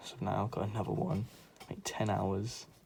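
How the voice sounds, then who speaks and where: A soft-spoken, somewhat breathy man speaks at a fairly quick pace with a fairly low pitch. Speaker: art content creator. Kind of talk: drawing tutorial commentary. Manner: calm.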